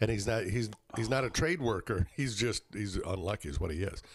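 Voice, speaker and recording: A man with an American accent talks at a fairly quick clip, his fairly low voice swinging very widely in pitch and catching on vocal fry. The recording is very clean, with a silent background. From northern Michigan (Traverse City). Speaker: radio show guest. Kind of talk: casual chat.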